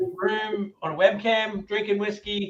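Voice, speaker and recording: A man talks in a high voice with an Australian accent. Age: 40s. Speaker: whiskey brand ambassador. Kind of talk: presentation at a tasting event. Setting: webcam from his room. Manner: enthusiastic.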